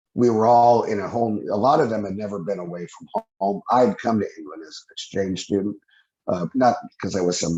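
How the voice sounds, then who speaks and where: At a moderate pace, a man with an unremarkable speaking voice talks at a fairly low pitch. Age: 60s. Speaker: UFO eyewitness, former airman. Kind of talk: interview testimony. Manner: casual, rambling with false starts.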